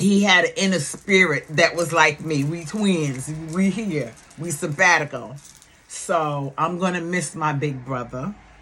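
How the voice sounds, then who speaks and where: Over noticeable background noise, a woman with an American accent speaks at a fairly slow pace in a fairly low pitch. Her tone is animated, with ordinary pitch variation. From New York. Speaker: YouTube commentator. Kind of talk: casual vlog talk. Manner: loud.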